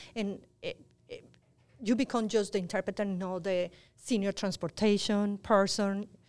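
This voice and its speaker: A woman of medium pitch with a Spanish accent, moderate pace, monotone, flat intonation, long, frequent pauses, and big swings in loudness. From Colombia, Cali. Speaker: health outreach coordinator. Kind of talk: panel discussion.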